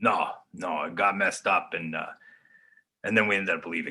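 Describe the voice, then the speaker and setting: A man puts on a raspy character voice. He talks at a fairly quick pace. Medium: audio drama. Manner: hesitant, halting.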